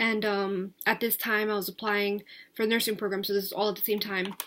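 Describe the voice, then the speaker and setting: Very fast and monotone, the speaker talks with an American accent and flat intonation. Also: woman. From US Northeast, New Jersey. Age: 20s. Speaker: vlogger. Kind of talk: casual vlog monologue. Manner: hesitant, many filler words; talkative.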